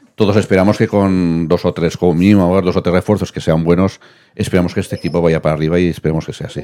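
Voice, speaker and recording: A man speaks at a very fast pace in a dark, mellow tone. His intonation stays monotone and flat. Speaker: match analyst co-commentator. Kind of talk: casual sports analysis.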